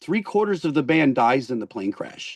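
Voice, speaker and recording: At a moderate pace, a man talks with lively intonation, the sound dry and close with no echo over a quiet background. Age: 60s. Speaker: rock singer. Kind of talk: casual chat. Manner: animated; repeats words often.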